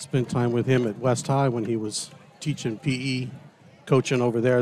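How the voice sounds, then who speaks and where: A man of medium pitch keeps a moderate pace and fairly even intonation while noticeable background noise plays behind him. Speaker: broadcast co-host. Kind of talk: live commentary. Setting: stadium broadcast.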